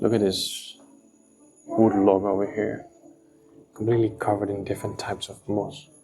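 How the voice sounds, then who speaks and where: Over background music, a man with a fairly low voice speaks at a moderate pace in a flat monotone, with big swings in loudness and long, frequent pauses. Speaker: aquascaping vlogger. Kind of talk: vlog walkthrough tour. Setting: indoor public aquarium. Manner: whispering.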